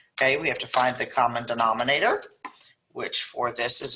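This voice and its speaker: At a moderate pace, a woman speaks with a South Louisiana accent. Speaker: math teacher. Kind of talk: lesson tutorial. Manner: casual, step-by-step explaining.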